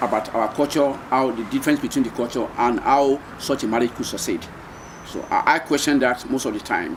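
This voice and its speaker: Over noticeable background noise, a man with a Nigerian accent speaks at a medium pitch and a fairly quick pace with fairly even intonation. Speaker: retired seafarer, marine engineer. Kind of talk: oral history interview answer.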